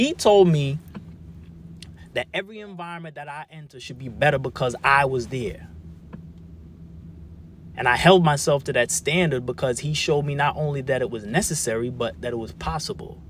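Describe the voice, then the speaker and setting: A man with a fairly high pitch and a somewhat breathy voice uses lively intonation and big swings in loudness. He keeps a moderate pace with long, frequent pauses. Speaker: spoken word artist; formerly incarcerated man. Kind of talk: spoken word testimony.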